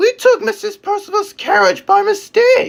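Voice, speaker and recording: A woman's squeaky put-on character voice at extremely high pitch. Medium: read story. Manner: wailing, repeating.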